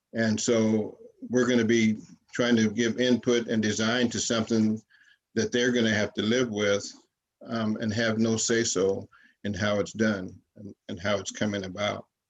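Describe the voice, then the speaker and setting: A man speaks at a fairly low pitch and a moderate pace. His intonation is monotone and flat. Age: 70s. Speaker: community advisory board member. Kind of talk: public meeting comment. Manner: halting, many fillers.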